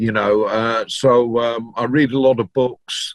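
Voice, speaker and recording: In a Yorkshire accent, a man at medium pitch speaks fairly slowly with monotone, flat intonation, and the sound is dry and close with no echo. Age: 60s. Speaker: DJ and record collector. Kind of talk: interview. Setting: video call.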